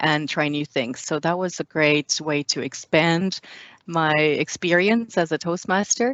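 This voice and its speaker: This woman, with a French accent, has a fairly low pitch and ordinary pitch variation. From France. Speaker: public speaking club member. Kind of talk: interview.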